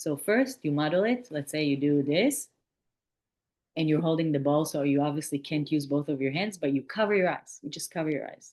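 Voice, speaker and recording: The voice is shaky and animated, moving at a fairly quick pace with ordinary pitch variation against a quiet background. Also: woman, very deep, low pitch for a woman. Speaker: kids' yoga and mindfulness instructor. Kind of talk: virtual workshop presentation. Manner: shaky voice.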